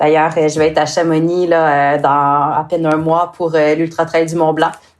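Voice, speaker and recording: At a moderate pace, a woman speaks in a fairly low voice with monotone, flat intonation. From Quebec. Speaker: sports nutritionist. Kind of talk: podcast interview. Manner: hesitant, many fillers.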